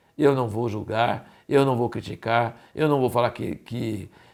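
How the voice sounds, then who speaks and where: This man has an ordinary speaking voice, with ordinary pitch variation and a moderate pace. The recording is very clean, with a silent background. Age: 60s. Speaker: Bible teacher. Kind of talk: sermon.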